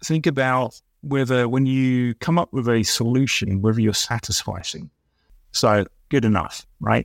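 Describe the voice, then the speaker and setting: With an English accent, a man speaks at a fairly slow pace and medium pitch. His loudness stays very even, and the sound is dry and close with no echo. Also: ordinary pitch variation. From England (Essex, near Colchester). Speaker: business executive and consultant. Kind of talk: interview conversation.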